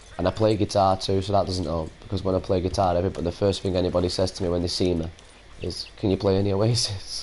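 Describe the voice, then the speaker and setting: Speaking very fast with a Manchester accent, a man delivers his words in a very deep, low pitch and a flat monotone. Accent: Manchester accent, like the band's. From Salford, Greater Manchester, England. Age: 30s. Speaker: gaming streamer. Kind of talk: casual live-stream chat.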